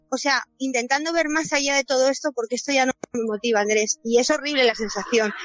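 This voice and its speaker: Speaking at a fairly quick pace, a woman has a high-pitched voice with ordinary pitch variation. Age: 40s. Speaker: course participant. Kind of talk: personal testimony.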